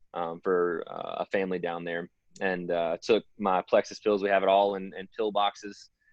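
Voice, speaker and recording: Monotone, flat intonation from a man with a fairly low voice at a moderate pace. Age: 20s. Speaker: supplement distributor and outdoor worker. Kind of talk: testimony. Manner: casual, filler-heavy.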